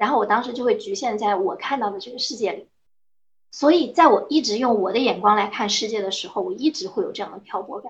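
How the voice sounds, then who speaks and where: A woman's high-pitched, very fast voice with very wide pitch swings and big swings in loudness. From Anhui, China. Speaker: rural lifestyle creator. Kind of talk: casual chat.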